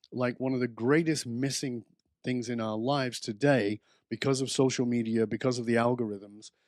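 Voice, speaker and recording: Against a quiet background, a man has a plain, everyday voice, a medium pitch, fairly even intonation and a moderate pace. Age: 60s. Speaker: author and belonging expert. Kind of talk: podcast interview.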